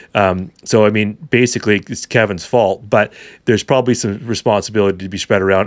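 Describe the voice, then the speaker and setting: A man's fairly low voice with a Canadian accent at a very fast pace, on a very clean recording with a silent background. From Vancouver, British Columbia, Canada. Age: 40s. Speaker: hunting educator. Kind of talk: casual chat.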